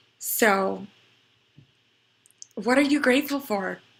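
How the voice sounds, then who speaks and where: A woman speaks with vocal fry. Her pitch variation is ordinary. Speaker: astrology and numerology forecaster. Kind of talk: weekly spiritual forecast monologue. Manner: halting, with fillers.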